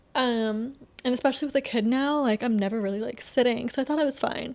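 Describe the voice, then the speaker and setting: At a fairly quick pace, a woman speaks with a high pitch and ordinary pitch variation. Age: 30s. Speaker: lifestyle vlogger. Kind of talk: casual talk to camera. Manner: casual, rambling.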